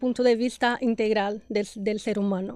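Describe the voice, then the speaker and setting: Recorded with a dry, close sound and no echo, a woman with a Brazilian accent talks fairly slowly at a fairly high pitch, her intonation fairly even. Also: quiet background. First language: Portuguese (speaking Spanish). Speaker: podcast host, health and nutrition professional. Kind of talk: interview podcast.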